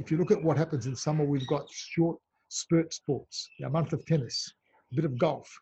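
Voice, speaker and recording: A man with an Australian accent talks at a fairly quick pace and fairly high pitch, his tone dark, mellow and somewhat breathy, with ordinary pitch variation. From Melbourne, Australia. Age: 50s. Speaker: football club association chairman. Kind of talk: interview.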